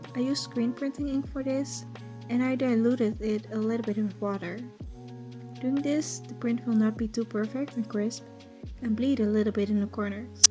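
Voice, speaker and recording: Music in the background beneath a woman's moderate pace of speech. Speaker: cosplayer. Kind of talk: tutorial voice over. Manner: soft-spoken.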